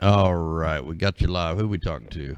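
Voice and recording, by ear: A man talks in a low pitch with a clear, smooth tone. His pace is moderate. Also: ordinary pitch variation.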